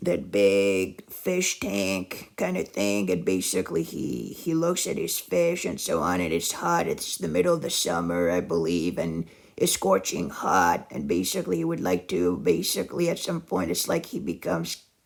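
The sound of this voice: A raspy man speaks at a fairly high pitch with vocal fry. His pitch swings widely, and his pace is moderate.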